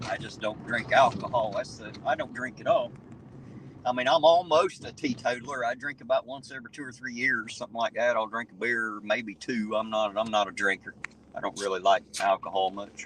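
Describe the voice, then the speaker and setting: With an Appalachian accent, a man speaks at a medium pitch and a fairly quick pace, with ordinary pitch variation and big swings in loudness. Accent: American hillbilly. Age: 40s. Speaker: live-stream host, auditor. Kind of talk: casual chat.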